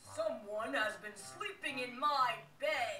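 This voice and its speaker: A put-on character voice growls at a high pitch and a fairly slow pace over clear background noise. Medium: read story.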